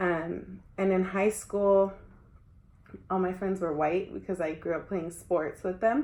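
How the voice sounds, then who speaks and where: A woman speaks at a fairly slow pace with a medium pitch and ordinary pitch variation. Her tone is dark and mellow. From US, Mexican-American family. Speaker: education student. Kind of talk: casual interview. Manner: casual, many fillers.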